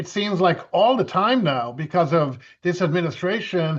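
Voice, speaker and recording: With an Irish accent, a man speaks at a moderate pace in a high pitch. His pitch varies in an ordinary way over a quiet background. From western Ireland (Galway). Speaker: event MC and home business mentor. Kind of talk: business webinar talk.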